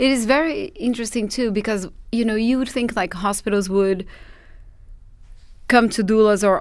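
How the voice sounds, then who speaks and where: The recording is very clean with a silent background as a woman speaks at a moderate pace with fairly even intonation. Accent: Portuguese. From Brazil, Sao Paulo. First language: Portuguese. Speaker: doula trainer. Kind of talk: podcast interview.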